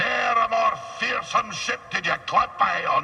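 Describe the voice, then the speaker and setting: A man's theatrical, put-on character voice at a fairly slow pace, over clear background noise. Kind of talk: salty sea-yarn storytelling. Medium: video game. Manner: rambling, theatrical, digressive.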